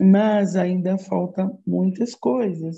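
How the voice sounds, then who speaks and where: A woman's fairly low, somewhat breathy voice, dark and mellow in tone, with fairly even intonation. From Brazil, Osasco, São Paulo. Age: 60s. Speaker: psychologist. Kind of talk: interview.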